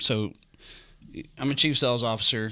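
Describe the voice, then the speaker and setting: With a West Virginia accent, a man speaks at a moderate pace in a fairly low voice on a very clean recording with a silent background. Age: 40s. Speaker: sales executive. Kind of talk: casual chat. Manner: halting.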